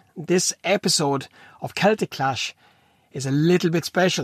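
Lively intonation moves along at a moderate pace, recorded dry and close with no echo. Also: man. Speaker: fight promotion podcast host. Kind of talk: casual monologue. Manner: animated.

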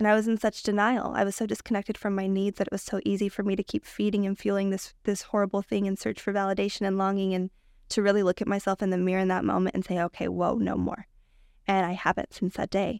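Very fast and monotone, a woman talks with flat intonation at a medium pitch. The recording is very clean and dry, close with no echo, and the background is silent. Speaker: breathwork practitioner. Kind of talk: casual interview chat. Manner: fast talker.

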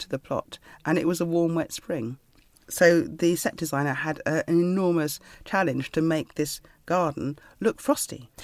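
A plain, everyday voice at a moderate pace, with ordinary pitch variation and a dry, close sound with no echo. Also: woman, fairly low pitch for a woman. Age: 50s. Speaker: writer. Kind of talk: interview.

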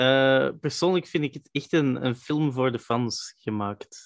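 A man with a Flemish accent, talking at a very slow pace against a quiet background. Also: dry, close sound with no echo. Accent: Flemish Dutch. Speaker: podcast host. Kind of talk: interview.

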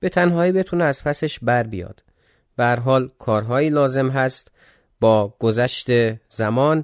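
In a very clean recording with a silent background, a man of medium pitch speaks at a moderate pace with ordinary pitch variation and long, frequent pauses. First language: not Persian; Persian is second language (speaking Persian). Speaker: history podcaster. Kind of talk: casual chat about listener comments; scripted narration.

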